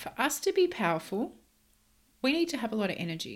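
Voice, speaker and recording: A woman's animated voice at a fairly quick pace, on a very clean recording with a silent background. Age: 30s. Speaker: podcast host and mindset coach. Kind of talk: solo podcast monologue.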